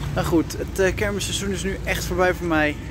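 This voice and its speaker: With music in the background, a man talks at a fairly quick pace in a dry sound with no echo. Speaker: funfair vlogger. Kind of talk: casual vlog chat. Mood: warm, grateful, relaxed. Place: street. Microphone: phone near.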